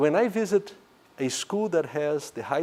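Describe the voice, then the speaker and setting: A man speaks with a non-native accent and a dark, mellow tone. His pitch swings very widely. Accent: foreign. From Brazil. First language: Portuguese. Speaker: economics professor. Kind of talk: lecture. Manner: hesitant, many fillers.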